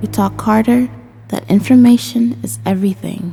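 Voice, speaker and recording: Music plays in the background. A woman speaks over it at a fairly slow pace. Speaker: voice actor. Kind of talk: immersive horror game lore narration.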